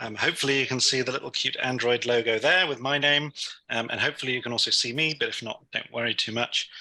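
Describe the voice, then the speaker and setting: A man's bright, sharp, medium-pitched voice with a London accent and ordinary pitch variation. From London, England. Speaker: technology instructor. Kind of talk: tutorial. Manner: hesitant, many fillers.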